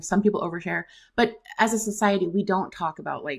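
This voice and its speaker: Vocal fry on a very clean recording with a silent background. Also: woman. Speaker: debt and credit attorney. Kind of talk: casual interview chat. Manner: fast.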